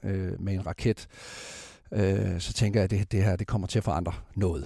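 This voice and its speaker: The man's voice has a dark, mellow tone. Vocal fry runs through his speech. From West Jutland, Denmark. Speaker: space company CEO. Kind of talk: interview. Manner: halting.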